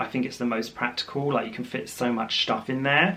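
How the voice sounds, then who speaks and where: In a British accent, a man speaks at a medium pitch with a bright, sharp tone. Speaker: fashion vlogger. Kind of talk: unboxing video, casual chat to camera. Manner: chatty with many fillers.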